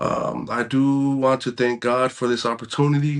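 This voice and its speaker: Using a Californian accent, a man talks fairly slowly in a flat monotone. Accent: Californian American English. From San Francisco Bay Area, California (Pacifica). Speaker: podcast host. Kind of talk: casual monologue.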